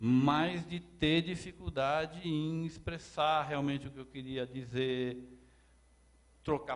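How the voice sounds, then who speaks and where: A man speaks at a fairly slow pace. His voice is fairly high, with ordinary pitch variation. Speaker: lecturer. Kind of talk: lecture. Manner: halting, repeats words; gets louder when excited.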